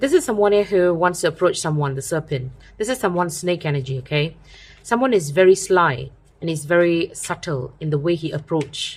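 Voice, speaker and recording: A woman speaks fairly quickly with lively intonation, her voice somewhat breathy and fairly low in pitch. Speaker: tarot reader. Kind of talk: tarot reading. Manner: fast.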